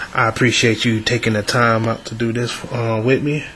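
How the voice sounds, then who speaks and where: A man speaks over noticeable background noise. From Atlanta. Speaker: podcast host. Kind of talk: casual interview.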